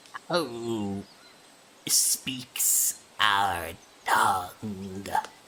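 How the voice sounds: A man puts on a creaky character voice. His pitch sits fairly low.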